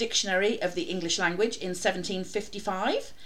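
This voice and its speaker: Fairly slow speech from a woman, the room's echo clearly audible. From North East England. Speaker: podcast host. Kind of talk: casual chat.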